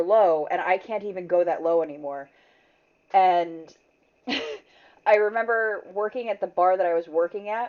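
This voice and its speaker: A woman speaks at a moderate pace and medium pitch. Her intonation stays fairly even. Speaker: streamer. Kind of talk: casual chat. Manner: loud.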